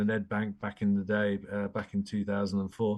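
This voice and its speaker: A man's fairly low voice at a fairly quick pace, against a quiet background. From England. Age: 60s. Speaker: banking executive. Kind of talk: interview.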